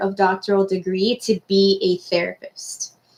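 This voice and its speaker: A woman's medium-pitched voice, a normal speaking voice, at a moderate pace. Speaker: university careers advisor. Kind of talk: online class talk.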